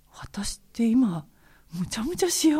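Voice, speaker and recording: Somewhat breathy with a dark, mellow tone, a woman speaks at a moderate pace with very wide pitch swings in a very clean recording with a silent background. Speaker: jazz vocalist. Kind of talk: interview, personal life story. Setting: recording studio.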